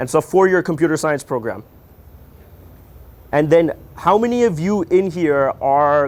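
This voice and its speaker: Here a man speaks at a fairly high pitch. His pace is moderate. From Canada (Toronto). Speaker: tech company founder giving a workshop. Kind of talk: workshop talk to students. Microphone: speaking without a microphone.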